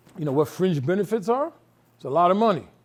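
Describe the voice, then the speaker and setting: A man with a New York accent, animated in tone, with lively intonation and a fairly quick pace. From New York City. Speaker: nonprofit executive director, harm reduction. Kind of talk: talk with audience Q&A. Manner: fast; casual, animated.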